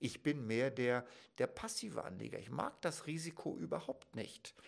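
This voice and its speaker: A man speaks at a fairly slow pace with vocal fry. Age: 50s. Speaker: financial advisor. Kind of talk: educational talk to camera. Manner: formal.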